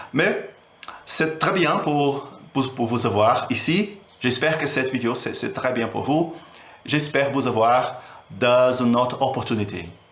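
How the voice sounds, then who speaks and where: A man with a non-native accent speaks at a fairly slow pace with lively intonation. Long, frequent pauses break up his speech, and room echo is audible. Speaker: teacher. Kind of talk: tutorial. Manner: halting. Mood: friendly, warm.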